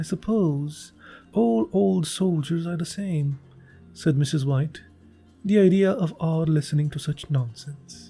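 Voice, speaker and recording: With music in the background, a man speaks fairly slowly in a fairly high voice with lively intonation. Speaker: audiobook narrator. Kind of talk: short story reading.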